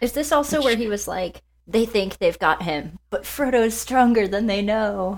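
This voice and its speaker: A woman's fairly high voice at a moderate pace, with lively intonation and an ordinary speaking voice. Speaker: podcast host. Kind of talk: casual chat.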